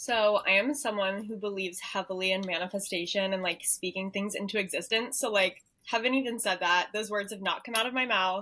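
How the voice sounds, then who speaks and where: Woman with an American accent, medium pitch, a bright, sharp tone, fairly even intonation, a fairly quick pace and hardly any pauses. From US South, Nashville. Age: 20s. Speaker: content creator. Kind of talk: casual chat.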